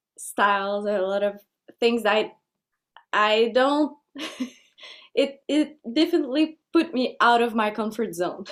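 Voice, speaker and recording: With a Quebec accent, a woman speaks very slowly in a fairly high pitch, using ordinary pitch variation. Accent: French Canadian accent in English. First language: French. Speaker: folk singer. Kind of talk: interview. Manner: halting.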